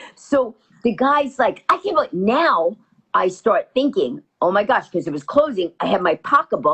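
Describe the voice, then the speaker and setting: A woman speaks in an animated tone at a high pitch and a moderate pace. Her pitch swings very widely. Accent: New York. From New York, Queens. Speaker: comedian. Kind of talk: storytelling in interview.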